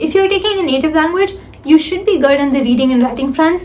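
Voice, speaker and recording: A woman talks at a fairly quick pace with ordinary pitch variation. Background noise is noticeable. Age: young. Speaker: student vlogger. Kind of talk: advice vlog.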